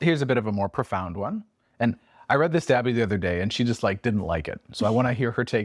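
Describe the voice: Lively intonation throughout plain reading aloud.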